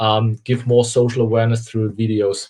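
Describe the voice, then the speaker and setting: Speaking in a German accent, a man keeps a moderate pace at a medium pitch. His voice is somewhat breathy, with monotone, flat intonation. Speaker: company founder and CEO. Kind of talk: interview. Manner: halting.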